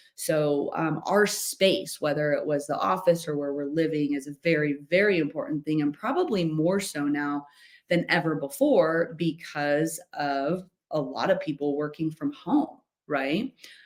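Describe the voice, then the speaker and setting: At a fairly slow pace, a woman talks in a very deep, low pitch with ordinary pitch variation. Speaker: life coach hosting a masterclass. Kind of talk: webinar presentation. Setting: home office, online session with screen sharing. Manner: loud.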